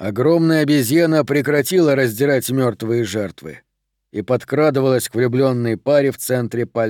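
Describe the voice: Plain reading aloud with ordinary pitch variation. The background is quiet.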